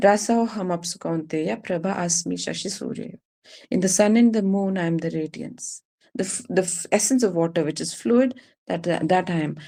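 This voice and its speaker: Medium in pitch for a woman, her voice has a dark, mellow tone and vocal fry, with ordinary pitch variation. She speaks at a moderate pace in a very clean recording with a silent background. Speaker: spiritual teacher. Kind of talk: lecture.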